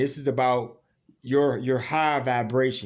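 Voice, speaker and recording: Talking at a fairly slow pace, a man speaks with an American accent. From US South. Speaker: religious YouTuber. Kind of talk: spiritual monologue to camera. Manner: animated.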